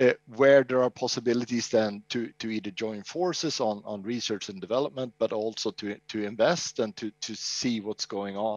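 A man with an ordinary speaking voice talks at a moderate pace in a medium pitch, with ordinary pitch variation and hardly any pauses. The sound is dry with no echo, over a quiet background. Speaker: regional business developer; guest. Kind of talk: panel discussion. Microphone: headset.

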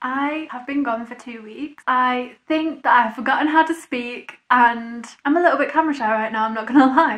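Talking at a moderate pace, a woman barely pauses. Her voice is high-pitched, with ordinary pitch variation. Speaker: vlogger. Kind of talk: casual vlog chat. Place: home room. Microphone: camera far.

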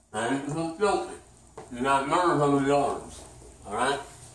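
At a moderate pace, a man speaks with ordinary pitch variation amid audible room echo. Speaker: self-defense instructor. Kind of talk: demonstration tutorial. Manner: rambling, informal. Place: home room. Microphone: camera far.

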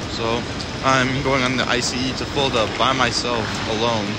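A man's dry voice, with no echo, is heard against loud background noise. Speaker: vlogger. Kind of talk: casual vlog chat. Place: station. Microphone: phone near.

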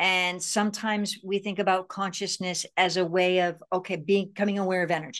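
At a moderate pace, a woman with a medium pitch talks in fairly even intonation against a quiet background. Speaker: self-healing speaker and author. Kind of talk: interview. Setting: video call. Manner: halting, repeats words. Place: home room. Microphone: video call.

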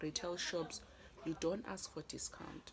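A woman's voice over noticeable background noise. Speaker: small business owner vlogger. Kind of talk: casual vlog chat. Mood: venting, frustrated. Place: home room. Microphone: phone near.

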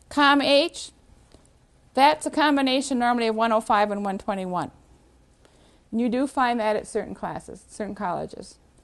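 The woman's pitch is fairly high, with ordinary variation. She keeps a moderate pace but pauses long and often. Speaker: university transfer credit staff presenter. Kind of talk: training seminar presentation. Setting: room with live audience.

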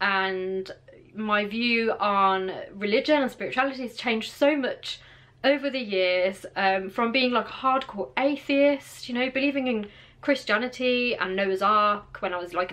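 A woman's bright, sharp voice at a fairly high pitch, with ordinary pitch variation and a moderate pace. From England. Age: 20s. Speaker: vlogger. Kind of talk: casual talk to camera. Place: home room. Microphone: phone near.

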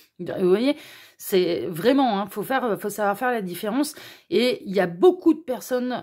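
Lively intonation and a dark, mellow tone carry this moderate-paced speech, recorded very cleanly against a silent background. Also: woman. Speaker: tarot card reader. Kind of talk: tarot reading video. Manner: gentle, kind intonation.

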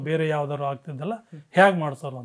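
Over a quiet background, a man with a plain, everyday voice speaks at a fairly high pitch. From Karnataka, Hassan district (Alur taluk); Karnataka. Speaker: retired army veteran. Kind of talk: interview storytelling. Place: home room. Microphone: lapel.

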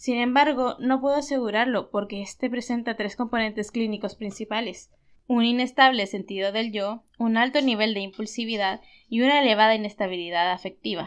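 A plain, everyday voice from a woman, fairly high in pitch, at a fairly quick pace with fairly even intonation, over a quiet background. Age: 20s. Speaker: YouTuber analyzing anime characters. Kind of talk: video commentary / character analysis. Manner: cheerful, occasional laughter.

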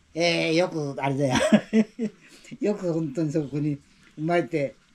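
A woman with a very deep, low pitch speaks at a moderate pace with lively intonation. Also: long, frequent pauses. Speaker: family member interviewing his grandmother. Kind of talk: casual conversation. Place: home room. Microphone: camera far.

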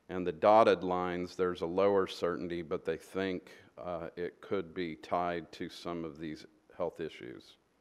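A man's very deep, low voice at a moderate pace, with fairly even intonation. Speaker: presenter. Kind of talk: presentation to council. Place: meeting room.

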